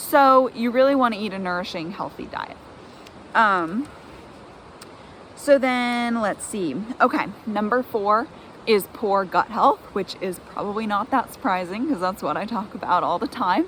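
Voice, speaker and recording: A woman speaks at a fairly slow pace in a normal speaking voice, fairly high-pitched for a woman, with lively intonation. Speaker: gut health nutrition coach. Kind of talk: tutorial. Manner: casual, filler-heavy.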